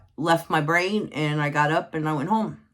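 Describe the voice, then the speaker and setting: A woman speaks at a very slow pace with a very deep, low pitch. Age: 60s. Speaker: spiritual teacher. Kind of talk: unscripted teaching monologue. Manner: halting, many fillers; casual, conversational.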